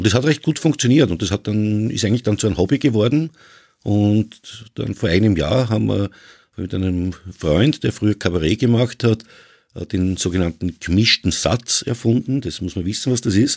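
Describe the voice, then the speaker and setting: The recording is very clean, with a silent background. A man with a normal speaking voice and a fairly low pitch talks at a moderate pace with lively intonation. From Vienna, Austria. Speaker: podcaster. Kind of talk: casual chat.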